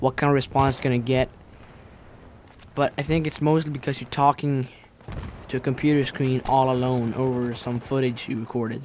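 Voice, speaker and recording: Amid noticeable background noise, a man of medium pitch talks fairly quickly in a monotone, flat intonation, with long, frequent pauses. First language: Finnish. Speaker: gaming commentator. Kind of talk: gameplay commentary vlog. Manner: fast, stuttering.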